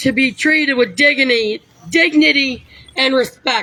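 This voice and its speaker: Her voice is raised and projected, high in pitch for a woman, with a bright, sharp tone and ordinary pitch variation. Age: 40s. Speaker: activist giving testimony. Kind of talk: testimony.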